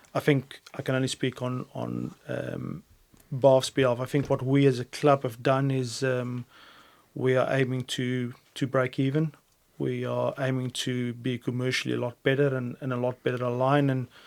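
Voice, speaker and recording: Speaking in a South African accent, a man keeps a medium pitch, a moderate pace and a monotone, flat intonation. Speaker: rugby head coach. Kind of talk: interview answer. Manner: calm, composed.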